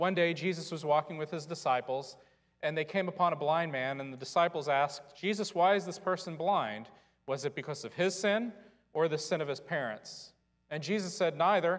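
The background stays quiet. A man moves along at a fairly quick pace, his pitch varying in an ordinary way. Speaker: pastor. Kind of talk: sermon. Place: church.

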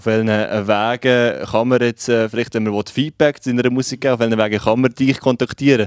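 At a moderate pace with hardly any pauses, a man with a Swiss accent speaks in a monotone, flat intonation against a quiet background. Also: dry sound with no echo. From Switzerland. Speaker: radio host. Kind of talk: radio interview. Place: studio. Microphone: handheld.

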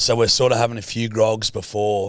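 A man speaks with an Australian accent. The background is quiet, and the sound is dry with no echo. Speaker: podcast co-host. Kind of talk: casual chat. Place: studio. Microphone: studio mic.

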